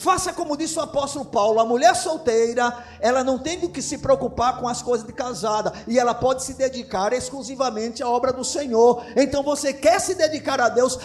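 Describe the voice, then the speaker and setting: A man's extremely high-pitched voice at a fairly quick pace, with ordinary pitch variation, hardly any pauses, and noticeable background noise. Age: 50s. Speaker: pastor. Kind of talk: sermon.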